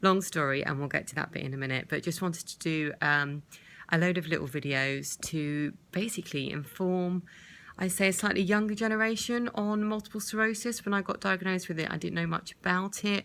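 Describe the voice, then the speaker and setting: At a fairly quick pace, a woman with a British accent speaks in a fairly low pitch with ordinary pitch variation on a very clean recording with a silent background. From UK. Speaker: vlogger with multiple sclerosis. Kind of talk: personal video diary. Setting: hospital bed.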